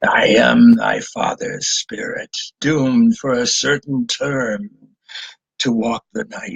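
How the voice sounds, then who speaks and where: A man whispers in a put-on character voice. It is raspy and fairly slow. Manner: whispering.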